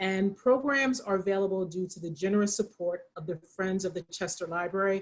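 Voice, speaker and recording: A woman with a Pennsylvania accent. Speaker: librarian, program moderator. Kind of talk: moderated author talk. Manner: informal, hesitant.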